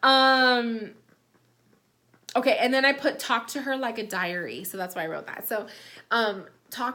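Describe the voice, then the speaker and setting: A woman's fairly high, bright, sharp voice with ordinary pitch variation. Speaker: psychic medium. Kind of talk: spiritual reading. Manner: casual, many fillers.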